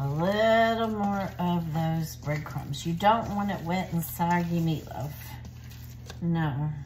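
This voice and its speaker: At a very slow pace, a woman speaks with a fairly low pitch and ordinary pitch variation over light background noise. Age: 60s. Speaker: cooking video host. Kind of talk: casual cooking tutorial with faith encouragement. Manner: animated. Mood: warm, cheerful, earnest. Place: kitchen. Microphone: phone near.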